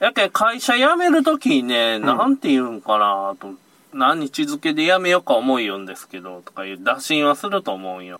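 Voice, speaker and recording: A man at a moderate pace, his loudness swinging widely. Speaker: fishing charter boat operator leaving a security job. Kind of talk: casual chat.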